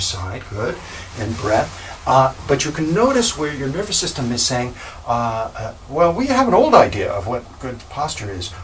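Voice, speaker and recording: Over noticeable background noise, a man's voice makes very wide pitch swings and big swings in loudness. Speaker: Alexander Technique teacher. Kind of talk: instructional explanation.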